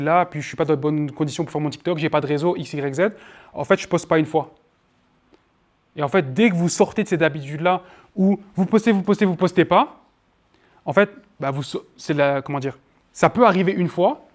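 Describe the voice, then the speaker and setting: A man with a fairly high pitch talks at a fairly quick pace with ordinary pitch variation. He leaves long, frequent pauses. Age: 20s. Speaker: marketing trainer. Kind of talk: workshop lecture with Q&A. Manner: fast; loud.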